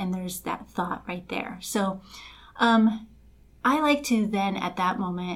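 A woman with an American accent speaks fairly slowly at a medium pitch, somewhat breathy, with ordinary pitch variation. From Los Angeles, Colombian family. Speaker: life coach. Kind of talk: casual chat.

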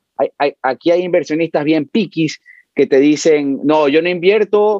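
A man speaks with a dark, mellow tone at a fairly high pitch. His intonation is lively, and the sound is dry and close with no echo. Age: 30s. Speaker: brokerage firm president. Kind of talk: interview.

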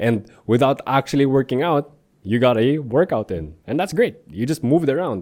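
A man at medium pitch talks at a moderate pace with lively intonation and vocal fry. The recording is very clean, the background silent. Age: 20s. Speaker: fitness coach podcast host. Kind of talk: solo podcast monologue. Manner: casual, frequent fillers.

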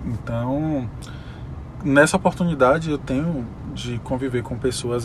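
A man at medium pitch with ordinary pitch variation, amid noticeable background noise. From Brazil, Salvador (Bahia). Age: 20s. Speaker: administrator and dancer. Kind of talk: casual interview.

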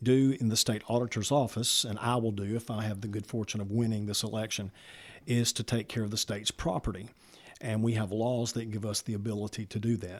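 A man with a Southern US accent at medium pitch, fairly quick pace and fairly even intonation, in a very clean recording with a silent background. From Alabama, Walker County. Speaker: pastor and political candidate. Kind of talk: interview answers. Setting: studio.

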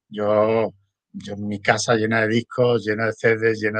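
This is a man's voice. His pitch is fairly low. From Spain. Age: 60s. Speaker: former rapper and DJ. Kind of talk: casual interview.

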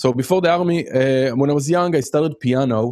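A man speaks with an Israeli accent. His intonation is lively. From Israel, Haifa. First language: Hebrew. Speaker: music production teacher. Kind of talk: casual chat.

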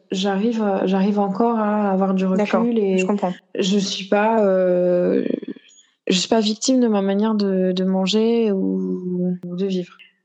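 A medium-pitched woman's voice, dark and mellow in tone, very slow and very even in loudness, with monotone, flat intonation. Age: 30s. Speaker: stay-at-home mother and fashion content creator. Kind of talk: interview testimony.

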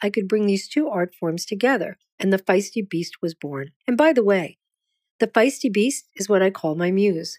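A woman with a normal speaking voice talks at a medium pitch with lively intonation. The recording is very clean, with a silent background and a dry, close sound with no echo. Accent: American. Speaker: poet. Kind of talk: scripted narration.

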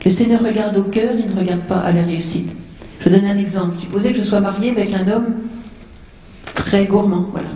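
Noticeable background noise and audible room echo surround the speech. The pace is fairly quick, broken by long, frequent pauses. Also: woman, medium pitch for a woman. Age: 70s. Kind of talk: religious talk to audience. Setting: seated, speaking to large audience. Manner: animated.

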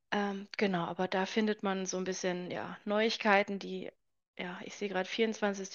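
We hear a female speaker. The pitch of her voice is medium. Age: 20s. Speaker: author and entrepreneur. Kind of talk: casual interview chat.

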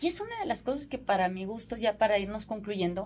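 A woman's fairly high, somewhat breathy voice with a Mexican accent at a very fast pace. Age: 40s. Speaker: sales consultant and radio host. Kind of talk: radio interview.

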